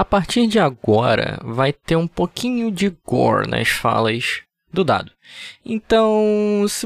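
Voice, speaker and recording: Very slow delivery, captured cleanly against total silence. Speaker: podcast co-host. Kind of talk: casual chat.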